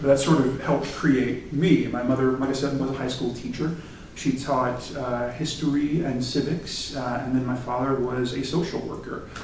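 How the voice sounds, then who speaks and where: Over noticeable background noise and audible room echo, a man speaks at a moderate pace and medium pitch with fairly even intonation. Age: 40s. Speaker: theater director. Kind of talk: talk to a student group. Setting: meeting with audience. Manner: halting, many fillers.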